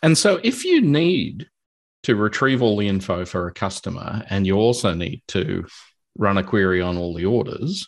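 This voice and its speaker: Against a quiet background, a man with an Australian accent speaks at a moderate pace, his fairly low voice carrying lively intonation. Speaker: podcast host, database consultant. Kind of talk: casual technical interview.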